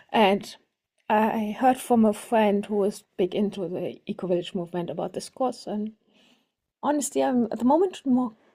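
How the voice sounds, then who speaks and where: With a German accent, a woman speaks at a moderate pace in a fairly high pitch. Her tone is dark and mellow, with ordinary pitch variation. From Germany, near French border. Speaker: workshop participant. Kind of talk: self-introduction in group video call. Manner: halting.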